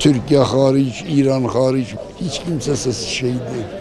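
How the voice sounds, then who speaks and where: A man talks at a medium pitch while the room echo is audible and background noise is noticeable. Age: 60s. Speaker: member of the public. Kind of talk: street interview.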